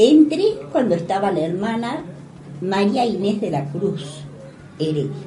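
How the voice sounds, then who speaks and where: Very wide pitch swings and long, frequent pauses at a fairly slow pace, amid noticeable background noise and audible room echo. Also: woman, medium pitch for a woman. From Argentina. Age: 80s+. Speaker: retired school teacher and principal. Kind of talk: interview. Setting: radio studio.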